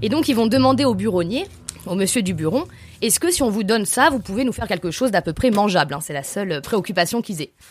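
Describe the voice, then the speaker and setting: Speech races along at a very fast pace with very wide pitch swings. Music plays in the background. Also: woman, medium pitch for a woman. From Aubrac, Lozère side (Nasbinal), southern France. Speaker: tour guide and storyteller. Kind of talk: storytelling.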